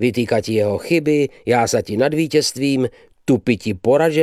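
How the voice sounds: This is a natural reading voice. It is heard throughout the clip.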